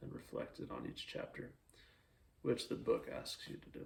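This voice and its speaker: A man is talking. His pace is moderate. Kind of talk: casual monologue.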